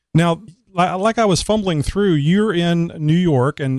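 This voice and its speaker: In a South Texas accent, a man talks with ordinary pitch variation over a quiet background, the sound dry and close with no echo. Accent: Southern Texas. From Texas, Houston. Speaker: podcast host. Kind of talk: casual interview. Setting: Skype call.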